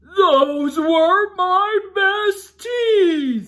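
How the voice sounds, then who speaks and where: A woman puts on a character voice at an extremely high pitch. She growls through the lines. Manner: growling.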